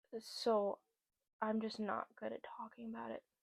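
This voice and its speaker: Recorded with a dry, close sound and no echo, a woman speaks at a fairly slow pace. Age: 20s. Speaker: podcast host. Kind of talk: personal vlog monologue. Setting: talking to camera. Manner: halting.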